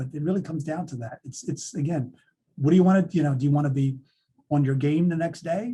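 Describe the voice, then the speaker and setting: A man talks at a fairly quick pace, somewhat breathy. His tone is dark and mellow, with a fairly high pitch. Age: 60s. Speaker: author and speaker on men's health. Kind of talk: webinar Q&A. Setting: video webinar.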